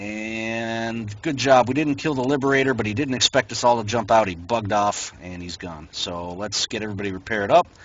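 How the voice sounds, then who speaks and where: At a fairly quick pace, a man speaks in a plain, everyday voice of medium pitch with ordinary pitch variation. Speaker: gaming clan trainer. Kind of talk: game training instruction. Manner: instructive, directive.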